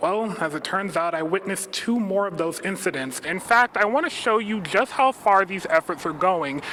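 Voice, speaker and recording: Over noticeable background noise, a man speaks in a raised, projected voice at a high pitch with ordinary pitch variation and hardly any pauses. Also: moderate pace. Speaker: television news reporter. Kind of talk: live TV news standup.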